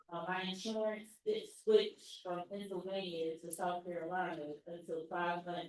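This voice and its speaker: A woman speaks with a fairly low pitch. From Philadelphia. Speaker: patient testimony speaker. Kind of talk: testimony. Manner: halting.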